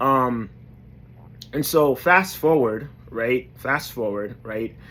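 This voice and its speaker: A man with an American accent, speaking at a very slow pace. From New York. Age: 30s. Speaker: motivational vlogger. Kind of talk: motivational talk to camera. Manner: hesitant, many fillers.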